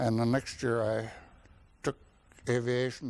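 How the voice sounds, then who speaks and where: A man with an Upper Midwest US accent, medium pitch, monotone, flat intonation and a moderate pace. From North Dakota. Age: 70s. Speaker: war veteran. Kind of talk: oral history interview. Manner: halting.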